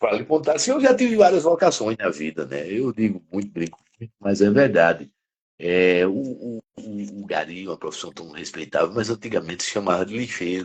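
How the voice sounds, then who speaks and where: A man's fairly low voice with very wide pitch swings and big swings in loudness. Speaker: criminal defense lawyer and professor. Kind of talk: interview conversation. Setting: live stream.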